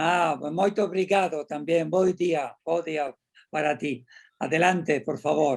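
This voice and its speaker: Very slow delivery with fairly even intonation. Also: man, fairly high pitch for a man. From Spain. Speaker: panel moderator. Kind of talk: moderating a conference panel.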